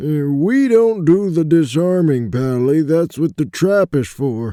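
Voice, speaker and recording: A man puts on a character voice, pitched fairly high and delivered at a fairly slow pace. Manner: brash, mocking.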